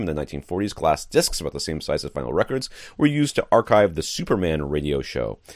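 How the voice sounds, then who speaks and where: In a very clean recording with a silent background, a man talks at a very fast pace with vocal fry and lively intonation. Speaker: podcast host.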